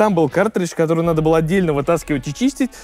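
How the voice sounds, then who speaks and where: The speaker is a man. Faint music plays in the background. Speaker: car reviewer. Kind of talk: product walkaround commentary. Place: station.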